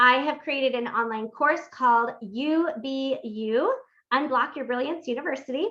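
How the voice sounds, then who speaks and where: A woman's high-pitched voice is raised and projected. Her tone is bright, sharp and animated. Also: ordinary pitch variation. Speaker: workshop host and life coach. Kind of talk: live-streamed interactive workshop. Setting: live stream. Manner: fast.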